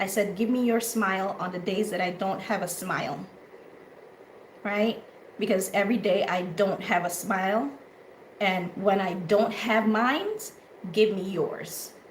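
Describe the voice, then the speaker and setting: Speaking at a fairly slow pace, a woman with a medium pitch keeps her intonation fairly even and leaves long, frequent pauses. Noticeable background noise and audible room echo surround her voice. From Honduras. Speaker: talk show host. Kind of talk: casual chat. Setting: live audio room and stream.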